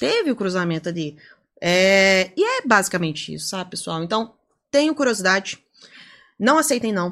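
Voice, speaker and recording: At a moderate pace and medium pitch, a woman uses very wide pitch swings and long, frequent pauses on a very clean recording with a silent background. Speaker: data privacy lawyer and lecturer. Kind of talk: podcast interview.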